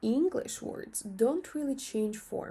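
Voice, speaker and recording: In a very clean recording with a silent background, a woman with a Russian accent speaks somewhat breathily in a dark, mellow tone, with lively intonation and a fairly slow pace. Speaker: language teacher. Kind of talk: tutorial.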